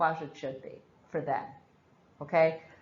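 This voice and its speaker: A woman with an Irish accent, recorded with audible room echo. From Ireland. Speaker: nurse educator. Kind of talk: lecture. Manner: slurs words slightly.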